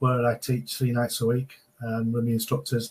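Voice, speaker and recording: A somewhat breathy, medium-pitched male voice in a Manchester accent. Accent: Greater Manchester English. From northern England, Oldham near Manchester. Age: 60s. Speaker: entrepreneur and martial arts instructor. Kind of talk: podcast interview. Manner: repetitive, halting starts.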